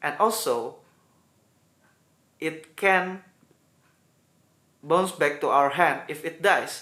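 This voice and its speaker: In an Indonesian accent, a man speaks very slowly with a bright, sharp tone and ordinary pitch variation. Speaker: gaming YouTuber. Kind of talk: video intro.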